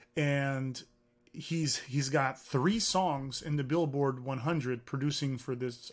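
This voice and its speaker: Speaking with a Californian accent, a man talks at a fairly slow pace. His pitch is fairly high for a man, with ordinary variation. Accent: Californian American English. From US, San Francisco Bay Area. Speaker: music tech founder and CEO. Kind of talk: interview. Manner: animated.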